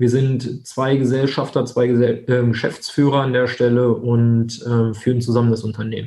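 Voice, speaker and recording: A man speaks at a moderate pace in a medium pitch, his dark, mellow tone carried by a monotone, flat intonation. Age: 20s. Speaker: insurance broker, company founder. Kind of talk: interview.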